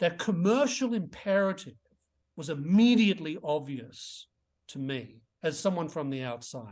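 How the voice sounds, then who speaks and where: The speaker has an Australian accent and talks at a moderate pace. The pitch swings very widely. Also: man, high pitch for a man, quiet background. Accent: Australian, often taken for English. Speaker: author and economist. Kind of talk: interview.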